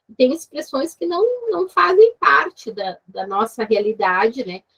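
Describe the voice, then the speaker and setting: A woman's fairly high voice at a very slow pace, with very wide pitch swings and a dry, close sound with no echo. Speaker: university lecturer. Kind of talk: online seminar discussion.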